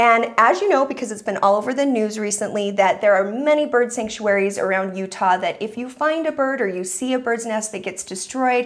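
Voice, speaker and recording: The speech moves at a fairly quick pace with hardly any pauses. Pitch varies in an ordinary way. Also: woman. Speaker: talk show host. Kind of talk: talk show storytelling. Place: studio. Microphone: lapel.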